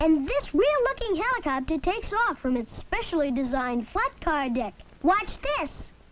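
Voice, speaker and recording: An extremely high, put-on character voice takes very wide pitch swings. The tone is cheerful and the pace moderate. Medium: voice reel. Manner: cheerful, salesmanlike.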